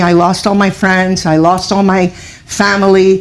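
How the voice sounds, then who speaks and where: A woman speaks in a Cuban-American accent at a moderate pace. Her medium pitch stays monotone and flat. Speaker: author. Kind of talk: interview.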